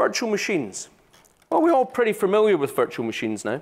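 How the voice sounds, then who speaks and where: This man has a Scottish accent. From Scotland. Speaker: solution architect. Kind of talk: conference talk. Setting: stage with audience. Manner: casual, joking.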